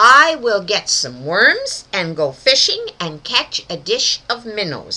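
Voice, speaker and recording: Putting on a character voice, a woman speaks at a fairly high pitch and a fairly slow pace. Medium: read story. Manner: polite, proper.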